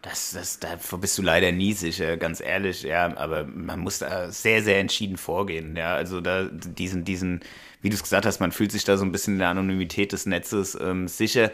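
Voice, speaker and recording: A man's very deep, low voice keeps fairly even intonation at a moderate pace. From Hanau, Hesse, Germany. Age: 30s. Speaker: local politician. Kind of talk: interview.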